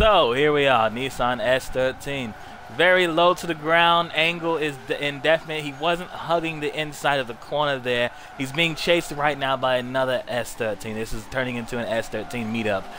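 A man talks at a moderate pace in a fairly high voice with ordinary pitch variation. The sound is dry with no echo, though noticeable background noise is present. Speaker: gaming streamer. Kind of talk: casual gaming chat. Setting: online voice party chat. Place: home room.

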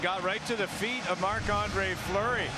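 A man projects a raised voice at a high pitch. His intonation is monotone and flat, with noticeable background noise behind him. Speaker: color commentator. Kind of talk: live commentary. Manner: conversational, analytical, explaining plays.

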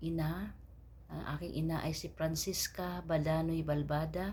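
Fairly slow female speech amid audible room echo. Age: 40s. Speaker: vlogger seeking her father. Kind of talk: personal appeal message. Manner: halting.

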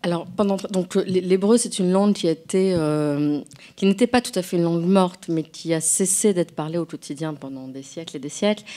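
Big swings in loudness mark this woman's fairly low-pitched, dark, mellow voice, which moves at a moderate pace with ordinary pitch variation. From France. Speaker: novelist and translator. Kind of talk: public conversation. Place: hall.

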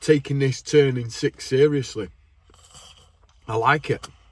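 At a fairly slow pace, a somewhat breathy man speaks in a dry sound with no echo. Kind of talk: casual vlog chat. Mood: playful, warm, joking. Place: car.

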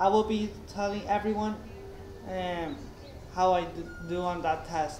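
A man with a high pitch and fairly even intonation is heard with audible room echo and light background noise. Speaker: vlogger. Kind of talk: casual vlog chat. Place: home room. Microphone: webcam.

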